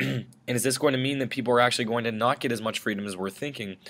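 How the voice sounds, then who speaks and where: Speaking very fast, a man talks at a medium pitch. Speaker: teacher. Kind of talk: lecture. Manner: some stumbles and self-corrections.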